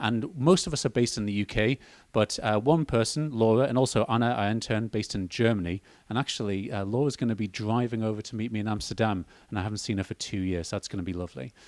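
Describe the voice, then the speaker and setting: A man with a medium pitch speaks at a very fast pace. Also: ordinary pitch variation. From northeast England, Northumberland. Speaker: educational technology consultant, presenter. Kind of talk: conference presentation. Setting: hybrid event with live audience and video call.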